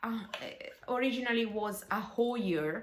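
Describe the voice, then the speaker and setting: The voice carries an Italian accent, with audible room echo. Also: woman. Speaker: bass player. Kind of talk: casual video talk. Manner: halting.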